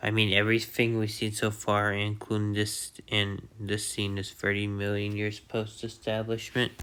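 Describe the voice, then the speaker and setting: A man's fairly low, bright, sharp voice, monotone and flat, with hardly any pauses. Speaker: YouTuber narrating speculative biology video. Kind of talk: unscripted voice-over narration. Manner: halting, many fillers and restarts; slow.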